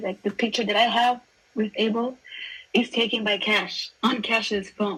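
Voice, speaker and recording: Fairly even intonation with a non-native accent. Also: woman. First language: not English. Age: 20s. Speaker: music fan guest. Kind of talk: casual chat.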